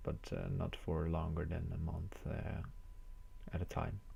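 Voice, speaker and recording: A man speaks in a somewhat breathy voice with a dark, mellow tone. His intonation is monotone and flat. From Netherlands, Groningen. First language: Dutch. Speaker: chess streamer. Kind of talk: live commentary. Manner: casual, hesitant with many fillers.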